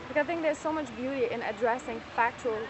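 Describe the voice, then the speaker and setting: A woman speaks very fast with a non-native accent and a high pitch. Noticeable background noise is present. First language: not English. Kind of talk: heated debate. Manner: halting.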